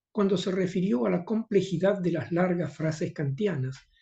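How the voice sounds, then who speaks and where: A man speaks with a high pitch and ordinary pitch variation. His tone is dark and mellow. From Argentina, Río de la Plata. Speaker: philosophy professor and translator. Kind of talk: conference talk.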